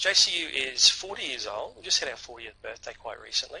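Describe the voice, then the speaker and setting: A man with a strong North Queensland accent at a fairly quick pace. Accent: strong North Queensland Australian. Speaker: university representative. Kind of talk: online presentation. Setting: online seminar. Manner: hesitant, many fillers.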